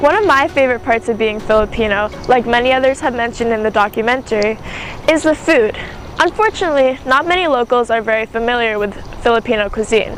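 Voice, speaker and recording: Over noticeable background noise, a woman talks very fast in a high voice with ordinary pitch variation. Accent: American. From Maine, US. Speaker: documentary maker. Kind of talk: documentary narration.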